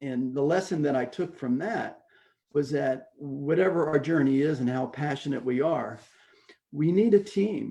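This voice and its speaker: A man speaks at a fairly high pitch. His tone is dark and mellow. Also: ordinary pitch variation, moderate pace. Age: 70s. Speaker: masters runner and motivational speaker. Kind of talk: interview testimony.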